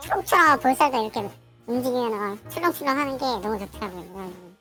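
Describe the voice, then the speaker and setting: A female-sounding put-on character voice, fairly high in pitch, rattles along at a very fast pace with faint music in the background. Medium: machinima. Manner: hesitant, filler-heavy.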